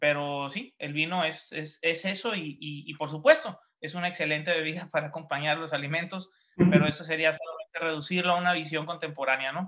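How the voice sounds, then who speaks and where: Loudness swings widely as a man with a fairly high voice talks at a fairly quick pace, his intonation fairly even. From Mexico, Baja California (Ensenada, Valle de Guadalupe). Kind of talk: casual chat. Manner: halting.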